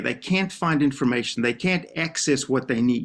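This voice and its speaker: A man's fairly high voice with lively intonation and a South African accent. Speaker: professor of special education. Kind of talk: TV interview.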